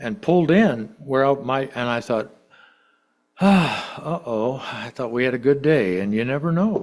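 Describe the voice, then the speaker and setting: This man's voice swings very widely in pitch. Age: 70s. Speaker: lay preacher. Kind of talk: sermon. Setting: church. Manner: conversational storytelling.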